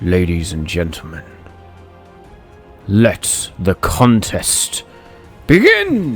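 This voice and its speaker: A man uses a put-on character voice, booming and fairly low in pitch, at a very slow pace with long, frequent pauses. Clear music plays in the background. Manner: grand, proclaiming.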